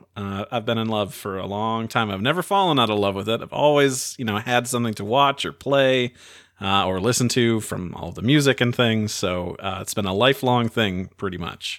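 An unremarkable speaking voice from a man at medium pitch, moderate in pace with hardly any pauses and ordinary pitch variation. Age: 30s. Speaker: podcast host. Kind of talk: casual chat.

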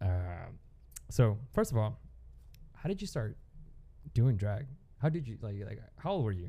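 A man with an American accent speaks at a moderate pace and medium pitch, somewhat breathy and with a dark, mellow tone. His intonation is lively, broken by long, frequent pauses. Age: 20s. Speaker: podcast host. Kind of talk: casual chat.

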